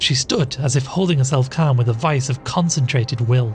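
It is plain reading aloud with ordinary pitch variation.

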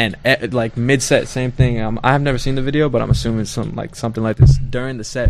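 A man with an American accent, medium-pitched and fairly quick, with fairly even intonation and noticeable background noise. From Southwest Detroit. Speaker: musician. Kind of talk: casual chat. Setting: studio.

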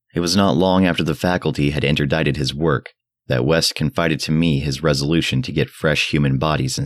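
At a very fast pace, the voice carries vocal fry and ordinary pitch variation in a dry, close sound with no echo. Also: man. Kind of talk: literary audiobook reading, scripted first-person horror narration.

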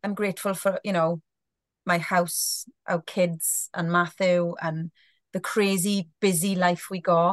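A woman with a Welsh accent speaks at a fairly slow pace and a medium pitch, her intonation monotone and flat. The sound is dry and close with no echo, over a quiet background. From South Wales. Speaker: guest, sober blogger. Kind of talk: casual interview chat. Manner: loud, talkative.

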